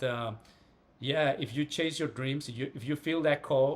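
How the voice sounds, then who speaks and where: A man with a Spanish accent speaks in fairly even intonation. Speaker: writer and astral projection teacher. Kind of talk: casual interview chat.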